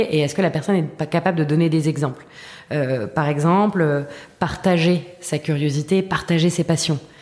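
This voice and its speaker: Very deep and low, this woman's voice moves at a moderate pace with ordinary pitch variation. Noticeable background noise is present. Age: 30s. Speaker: education startup co-founder. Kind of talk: interview. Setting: at her school's premises.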